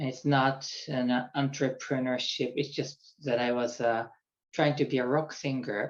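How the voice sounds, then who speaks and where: In a Japanese accent, a man talks at a fairly slow pace with a medium pitch and monotone, flat intonation. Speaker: executive coach. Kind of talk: personal introduction monologue. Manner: halting.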